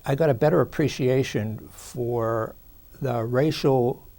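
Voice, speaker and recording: With an American accent, a man speaks at a fairly slow pace in a dark, mellow tone. His pitch is medium with ordinary variation. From Pittsburgh, Pennsylvania. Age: 60s. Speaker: attorney. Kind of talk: interview. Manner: halting, many fillers.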